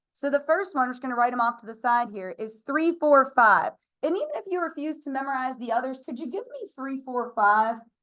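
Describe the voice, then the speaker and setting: A high-pitched woman with an American accent and a bright, sharp tone, lively intonation, a fairly quick pace, big swings in loudness and hardly any pauses. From Pennsylvania, US. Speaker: math teacher. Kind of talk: classroom lecture. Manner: fast; casual, chatty.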